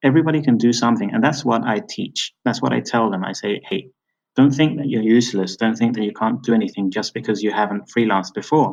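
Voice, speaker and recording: A man with a British accent speaks at a fairly quick pace with ordinary pitch variation. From Britain. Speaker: freelance writer and teacher. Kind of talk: interview.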